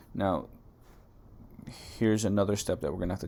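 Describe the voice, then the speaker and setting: A man's dark, mellow voice edged with vocal fry. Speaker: coding tutorial youtuber. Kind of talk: tutorial. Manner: casual, filler-heavy.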